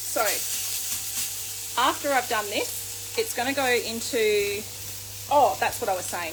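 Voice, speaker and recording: There is noticeable background noise behind a woman's voice. Audible room echo is present too. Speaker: chef. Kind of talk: cooking tutorial livestream. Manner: halting, fumbling over words.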